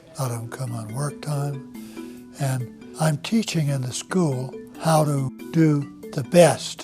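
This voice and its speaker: With music in the background, a man at a medium pitch talks at a very slow pace with lively intonation. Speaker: master barber and barber school teacher. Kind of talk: instructional demonstration talk to camera. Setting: barber shop or school.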